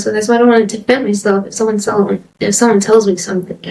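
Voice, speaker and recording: A quiet, squeaky voice rushes along at a very fast pace with monotone, flat intonation. Noticeable background noise sits behind it. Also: woman. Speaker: podcast guest. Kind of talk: casual chat. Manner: hesitant.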